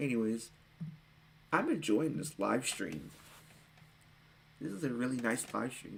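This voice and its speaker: With vocal fry, a man talks at a fairly slow pace, pausing long and often. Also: ordinary pitch variation. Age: young. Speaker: streamer. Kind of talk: casual chat. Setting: live stream. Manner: expressive.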